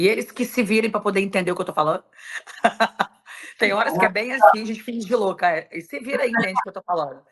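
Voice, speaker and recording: At a very fast pace broken by long, frequent pauses, a woman speaks at a medium pitch with ordinary pitch variation. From Brazil. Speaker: event promoter and decorator. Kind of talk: podcast interview.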